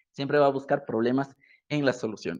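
A man with an ordinary speaking voice, fairly high pitch and a fairly quick pace. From Ecuador. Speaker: digital marketing educator. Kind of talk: live stream talk. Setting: online live stream.

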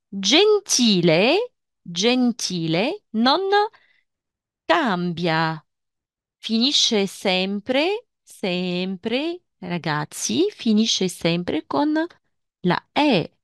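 A woman speaks very slowly with a Tunisian accent, leaving long, frequent pauses and using very wide pitch swings at a very even loudness. The sound is dry and close with no echo, over a quiet background. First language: Tunisian Arabic (speaking Italian). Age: 40s. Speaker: language teacher. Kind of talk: lecture.

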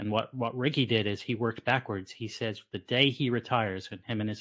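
Set against a quiet background, a man with a plain, everyday voice speaks at a fairly low pitch with fairly even intonation. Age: 40s. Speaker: physician podcast host. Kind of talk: casual interview. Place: home room. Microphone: studio mic.

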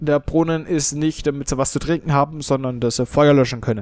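At a moderate pace, a man with a Franconian accent speaks at medium pitch with fairly even intonation. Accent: Franconian German, noticeable. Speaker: let's play gamer. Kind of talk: gameplay commentary. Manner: casual, hesitant with fillers.

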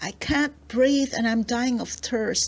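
A woman uses a put-on character voice, high-pitched and at a fairly slow pace. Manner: pleading, frightening.

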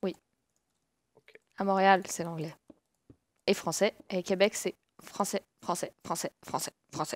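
A woman with a Quebec accent, medium-pitched, at a very slow pace with long, frequent pauses, big swings in loudness and fairly even intonation, in a dry, close sound with no echo. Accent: Quebec French, Saguenay. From Quebec, Saguenay. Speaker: gamer. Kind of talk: casual chat.

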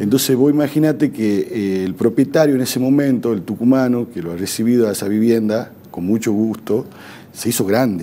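Talking at a moderate pace, a man shows ordinary pitch variation. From Argentina. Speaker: provincial government official, former legislator. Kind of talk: TV interview. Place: studio. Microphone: lapel.

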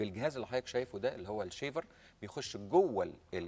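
Pitch swings are very wide. The voice is a man's. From Egypt. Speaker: ENT surgeon; guest. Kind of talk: medical interview. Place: studio. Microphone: lapel.

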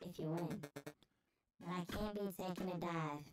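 A female-sounding voice performs a put-on character voice at a medium pitch. Music plays in the background. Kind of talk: casual, gruff, calling the listener 'mate'.

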